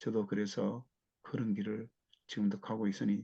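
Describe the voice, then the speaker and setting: A man's fairly low voice with a dark, mellow tone. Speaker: missionary. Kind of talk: testimony. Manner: slow.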